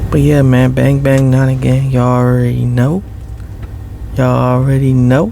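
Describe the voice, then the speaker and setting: Over noticeable background noise, a soft-spoken man talks at a moderate pace with very even loudness. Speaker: ASMR creator. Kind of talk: casual talk to camera.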